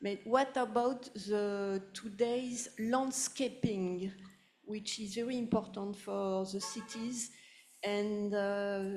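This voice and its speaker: In a French accent, a woman speaks very slowly with a fairly high pitch and fairly even intonation. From France, Paris. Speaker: audience member. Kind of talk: audience question. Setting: public talk with audience.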